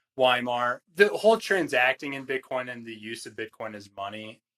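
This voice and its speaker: In an American accent, the voice has a bright, sharp tone at a moderate pace, with a dry, close sound and no echo. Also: man. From Northern Virginia, DC suburbs. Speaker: small business founder, ghee maker. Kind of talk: casual podcast conversation.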